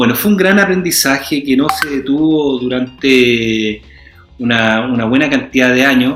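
Moderate-paced speech from a man with a Chilean accent, medium in pitch, with ordinary pitch variation and noticeable background noise. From Chile, Santiago. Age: 40s. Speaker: actor. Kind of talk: interview.

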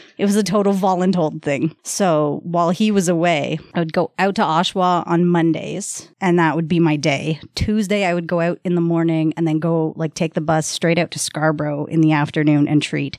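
A woman with an unremarkable speaking voice talks at a fairly low pitch and a moderate pace with hardly any pauses. The recording is very clean, with a silent background. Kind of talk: casual chat.

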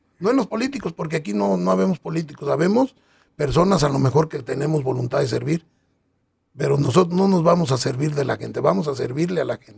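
Talking at a very fast pace, a man uses a fairly high pitch, lively intonation and vocal fry. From Acatic, Jalisco, Mexico. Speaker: local political candidate. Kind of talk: interview.

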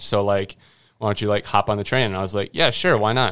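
A man has a normal speaking voice, pitched fairly low with fairly even intonation. The recording is very clean, with a silent background. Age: 20s. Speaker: college sports videographer. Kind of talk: casual chat. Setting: studio.

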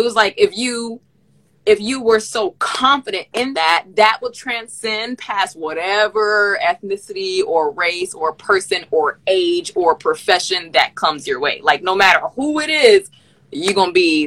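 A woman with an American accent swings her pitch very widely, the sound dry and close with no echo. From Miami, Florida, US. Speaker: podcast host. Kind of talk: casual chat. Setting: video call.

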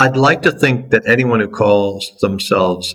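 Ordinary pitch variation marks a man's speech on a very clean recording with a silent background. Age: 60s. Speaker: impact investment fund founder. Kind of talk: interview.

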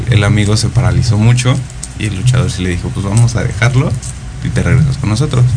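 Male speech amid noticeable background noise and audible room echo. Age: 30s. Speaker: guest sharing personal swinger experiences. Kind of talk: casual radio interview.

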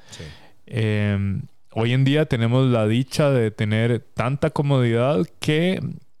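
The voice belongs to a man. Nothing can be heard behind him on this very clean recording. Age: 30s. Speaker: podcast co-host. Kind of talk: casual chat.

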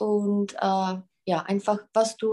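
A woman with a Czech accent speaks at a fairly slow pace, her medium-pitched voice dark and mellow in tone. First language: Czech (speaking German). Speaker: German tutor. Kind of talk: language lesson.

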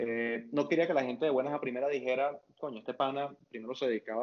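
A man speaks at a very fast pace with a medium-pitched voice. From Venezuela, Maturín (eastern Venezuela). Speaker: finance academic and investor, former petroleum engineer. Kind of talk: interview conversation.

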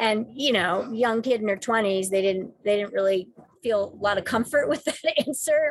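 At a moderate pace, a woman talks in a normal speaking voice pitched fairly high, with ordinary pitch variation. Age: 50s. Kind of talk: interview. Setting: in a car.

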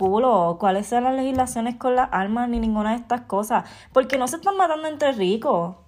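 A woman's high-pitched, furious voice with lively intonation at a fairly quick pace. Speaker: podcaster. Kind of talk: angry rant, vented personal monologue. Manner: furious, cursing, hammering rhetorical questions; emotional, heartbroken, indignant.

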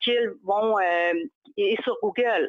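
In a Saguenay accent, a woman speaks at a very slow pace with lively intonation. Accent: Saguenay Quebec French. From Quebec, Saguenay (Chicoutimi). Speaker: social media marketing consultant. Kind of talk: interview.

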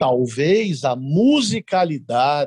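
A man's dark, mellow voice sounds dry and close, with no echo. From Cuiabá, Mato Grosso, Brazil; raised there from early childhood. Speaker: writer and lawyer. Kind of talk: academic interview.

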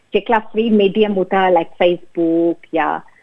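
A woman speaks in a plain, everyday voice. Her intonation is fairly even. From New Zealand, born in Fiji. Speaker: accountant and small business owner. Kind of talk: interview. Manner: mixes English heavily into Gujarati.

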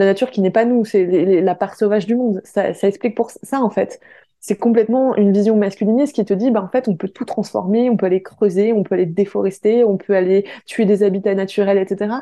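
A woman's voice has a dark, mellow tone and fairly even intonation. She barely pauses, against a quiet background. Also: medium pitch for a woman, fairly quick pace. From France. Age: 20s. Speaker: activist. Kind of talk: testimony.

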